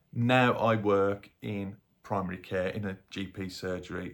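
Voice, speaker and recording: Here a man talks in a Birmingham accent. His pitch is very deep and low. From Birmingham, England. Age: 50s. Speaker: health vlogger and paramedic. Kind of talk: casual vlog talk to camera.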